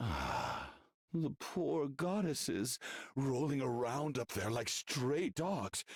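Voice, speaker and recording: A man performs a put-on character voice at a medium pitch. He talks very slowly with lively intonation. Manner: mocking, taunting, sneering.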